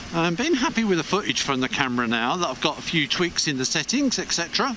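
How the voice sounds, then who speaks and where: Over noticeable background noise, a man speaks at a moderate pace in a high voice with very wide pitch swings, the sound dry with no echo. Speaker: motorcycle vlogger. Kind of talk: casual vlog chat. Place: motorbike. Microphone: helmet.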